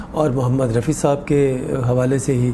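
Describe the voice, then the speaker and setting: A man's voice of medium pitch, with noticeable background noise behind it. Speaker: singer. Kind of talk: interview answer.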